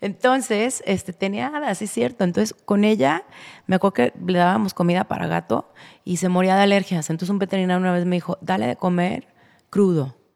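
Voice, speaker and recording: The recording is very clean, with a silent background and a dry, close sound with no echo. A woman of medium pitch talks at a fairly quick pace with lively intonation. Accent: Mexican. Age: 40s. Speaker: pet food entrepreneur. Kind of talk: casual interview chat.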